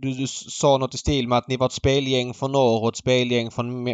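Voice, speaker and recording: This man talks at a fairly quick pace in a medium pitch. He has a normal speaking voice. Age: 30s. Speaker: horse racing podcast host. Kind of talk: casual chat.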